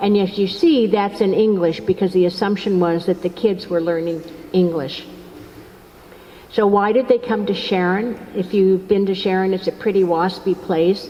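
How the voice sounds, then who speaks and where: A woman speaks at a moderate pace with a medium pitch. Noticeable background noise runs behind her. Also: fairly even intonation. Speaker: author and lecturer. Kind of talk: lecture. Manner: halting.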